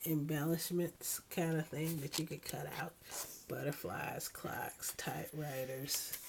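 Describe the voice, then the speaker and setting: A woman whispering at a very slow pace. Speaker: scrapbooking hobbyist. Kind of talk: casual talk to camera.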